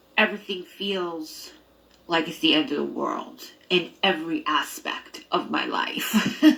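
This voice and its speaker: Noticeable background noise beneath fairly slow speech. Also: woman. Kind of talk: personal vlog. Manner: halting.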